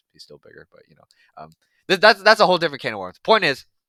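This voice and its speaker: A man is talking. He goes at a very fast pace. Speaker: MMA commentator YouTuber. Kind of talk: casual reaction commentary. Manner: halting, many fillers and repeats.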